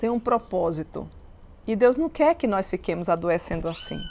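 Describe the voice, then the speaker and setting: A woman speaks with vocal fry. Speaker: Bible teacher. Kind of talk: Bible study teaching.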